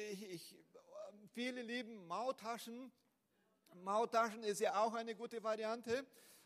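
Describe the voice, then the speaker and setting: With a strong Brazilian accent, a man speaks at an extremely high pitch and fairly slow pace, his intonation fairly even and his speech marked by long, frequent pauses. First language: Portuguese (speaking German). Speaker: pastor. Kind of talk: sermon. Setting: church. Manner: halting, with fillers and repeats.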